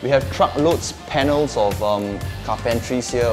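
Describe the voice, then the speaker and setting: Clear music plays in the background as a man speaks with ordinary pitch variation. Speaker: property tour host. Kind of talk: property walkthrough presentation. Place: home room.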